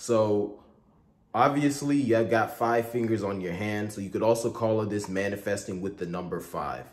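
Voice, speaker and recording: There is audible room echo as a man speaks at a moderate pace. His pitch is fairly low with ordinary variation. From Nigeria, Igbo area near Owerri. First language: Igbo. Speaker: content creator. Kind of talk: tutorial. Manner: casual.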